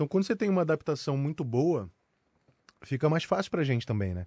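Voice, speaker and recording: Recorded dry and close with no echo against a quiet background, a man talks at a fairly quick pace in a dark, mellow tone. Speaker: voice actor. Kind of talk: casual interview.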